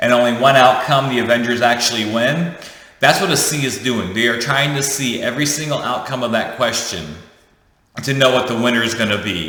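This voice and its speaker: A man with a medium pitch, ordinary pitch variation and an animated tone, talking at a fairly quick pace amid audible room echo. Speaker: leadership coach, YouTuber. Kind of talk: casual teaching monologue. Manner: fast.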